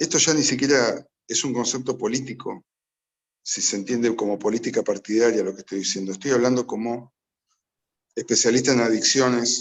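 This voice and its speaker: A man with a normal speaking voice talks at a moderate pace and medium pitch with fairly even intonation. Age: 60s. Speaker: addiction specialist. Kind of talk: public talk.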